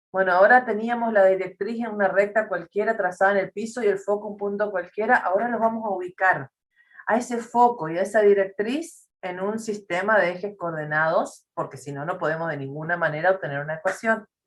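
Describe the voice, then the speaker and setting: Speaking at a fairly quick pace, a woman with a plain, everyday voice keeps a medium pitch with ordinary variation. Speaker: math teacher. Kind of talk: lecture.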